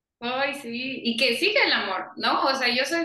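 Amid audible room echo, a woman speaks at a fairly slow pace with ordinary pitch variation. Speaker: podcast host. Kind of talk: casual interview chat. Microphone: audio and microphone problems.

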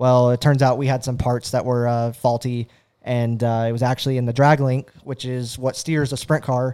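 A man with an American accent, medium pitch and a dark, mellow tone in monotone, flat intonation, on a very clean recording with a silent background. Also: moderate pace. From California. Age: 20s. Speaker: racing video broadcaster and former driver. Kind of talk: casual chat. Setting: studio.

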